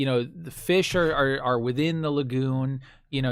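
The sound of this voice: A reading voice that is unforced.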